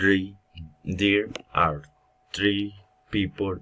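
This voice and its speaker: A man's very deep, low voice at a very slow pace. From Colombia, Cúcuta (Norte de Santander). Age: 20s. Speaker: language student. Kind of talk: self-introduction for class. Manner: halting.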